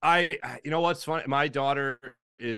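In a very clean recording with a silent background, a man with a fairly high pitch talks at a moderate pace in a bright, sharp tone. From Philadelphia. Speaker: sports radio host. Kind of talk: casual chat.

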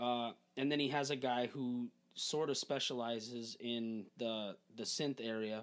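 A man in an ordinary speaking voice, medium pitch, fairly slow pace, in a very clean recording with a silent background. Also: fairly even intonation. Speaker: musician, former bandmate. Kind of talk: casual chat.

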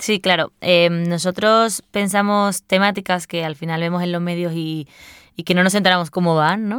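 A woman with an ordinary speaking voice speaks at a fairly low pitch and moderate pace, her intonation fairly even, in a very clean recording with a silent background and a dry, close sound with no echo. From Spain, Seville. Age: 20s. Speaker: journalist and podcaster. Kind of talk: interview conversation.

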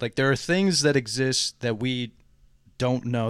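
Captured in dry, close sound with no echo, a man with a normal speaking voice talks at medium pitch, a moderate pace and ordinary pitch variation. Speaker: podcast co-host. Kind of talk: casual chat. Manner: joking.

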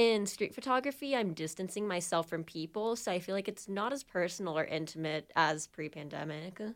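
A woman with an ordinary speaking voice talks at a medium pitch and a fairly quick pace with lively intonation on a very clean recording with a silent background. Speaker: journalism student, student podcast host. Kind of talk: casual chat.

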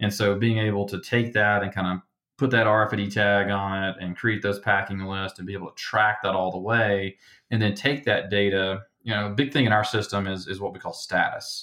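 This man has an American accent and a fairly low pitch. He talks fairly quickly in a monotone, flat intonation. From Alabama, US South. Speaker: company executive. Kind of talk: interview conversation.

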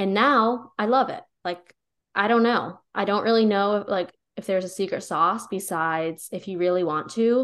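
Against a quiet background, a normal speaking voice with an American accent moves at a moderate pace with ordinary pitch variation. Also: woman. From rural Pennsylvania. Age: 20s. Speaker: podcast co-host, wellness content creator. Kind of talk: casual chat.

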